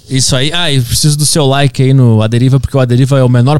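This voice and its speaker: Speaking at a very fast pace, a man keeps a medium pitch and fairly even intonation. The sound is dry and close, with no echo. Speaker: podcast host and comedian. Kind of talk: casual interview conversation.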